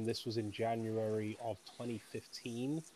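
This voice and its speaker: A man speaks in a British accent at a medium pitch with a dark, mellow tone. His intonation is monotone and flat. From UK. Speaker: author. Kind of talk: interview.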